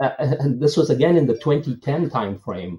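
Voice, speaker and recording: Somewhat breathy, a man's medium-pitched voice moves through very wide pitch swings. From India, Bangalore. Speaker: tech executive. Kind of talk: interview.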